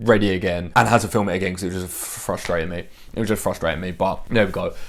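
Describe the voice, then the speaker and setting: In an English accent, a man talks at a very fast pace. His pitch is fairly low. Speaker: fitness coach and YouTuber. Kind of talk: casual vlog to camera. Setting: bedroom at home. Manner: loud.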